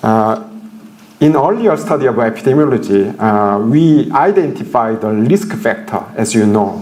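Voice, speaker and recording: This man speaks at a medium pitch with very wide pitch swings, and audible room echo surrounds the voice. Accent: Korean. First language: Korean. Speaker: professor. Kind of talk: lecture. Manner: halting, many fillers.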